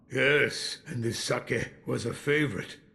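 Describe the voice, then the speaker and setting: A man puts on a character voice, medium in pitch and raspy. He talks at a fairly slow pace with fairly even intonation. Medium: video game. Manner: slow, reflective.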